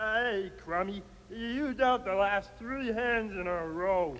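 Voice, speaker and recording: A man's cartoonish character voice, high-pitched and fairly slow, over clear background noise. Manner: grumbling.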